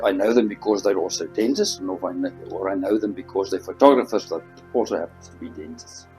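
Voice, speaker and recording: A man's words come at a fairly quick pace while music plays behind him. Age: 60s. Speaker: dentist and photographer. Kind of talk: interview answer.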